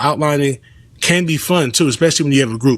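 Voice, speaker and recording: This is a man with an American accent. His pitch varies in an ordinary way. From Los Angeles, South Central. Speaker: comedian and content creator. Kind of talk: casual interview chat.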